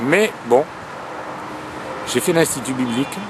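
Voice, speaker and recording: A man talks at a moderate pace with ordinary pitch variation. Noticeable background noise is audible behind him. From southern France, Toulouse. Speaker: singer-songwriter and former preacher. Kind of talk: personal testimony to camera. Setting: outdoors by a road. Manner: halting. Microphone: cheap camcorder mic, close to camera.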